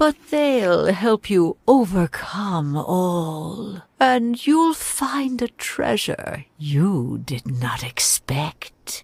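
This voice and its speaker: A woman uses a put-on character voice with a medium pitch and very wide pitch swings. She talks at a very slow pace with hardly any pauses. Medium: video game. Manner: mystical, portentous.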